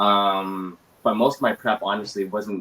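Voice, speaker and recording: This man's voice sits at a fairly low pitch. He is the one speaking here. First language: Mandarin. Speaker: actor. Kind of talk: interview. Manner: hesitant, many fillers.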